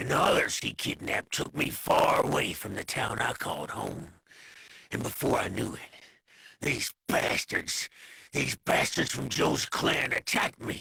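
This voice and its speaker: A man performs a put-on character voice with a raspy sound. He keeps a moderate pace. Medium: video game. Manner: gruff, boastful.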